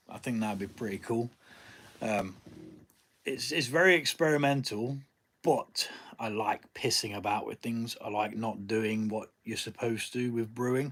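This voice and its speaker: The speaker has an English accent and ordinary pitch variation. The pace is moderate. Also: man, medium pitch for a man, very clean recording, silent background. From Nottingham, England. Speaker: home brewer. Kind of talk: live stream chat. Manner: casual, hesitant with fillers.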